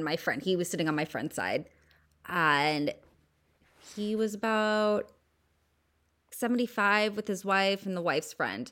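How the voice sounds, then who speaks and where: With a Southern California accent, a woman speaks at a moderate pace with a medium pitch, lively intonation and a bright, sharp tone in a very clean recording with a silent background. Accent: Valley Girl. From US West Coast, San Fernando Valley. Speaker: podcast host. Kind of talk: casual chat.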